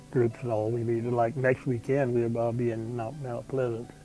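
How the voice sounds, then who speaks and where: A man with a South Carolina accent speaks in a monotone, flat intonation at a moderate pace. Music plays in the background. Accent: Southern American (South Carolina). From South Carolina, USA. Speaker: World War II veteran. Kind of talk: oral history interview answer.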